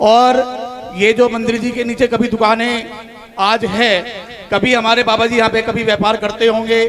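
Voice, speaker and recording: A man speaks at an extremely high pitch in a monotone, flat intonation, with long, frequent pauses. Noticeable background noise is present. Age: 40s. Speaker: donor family representative. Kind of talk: public address at religious event.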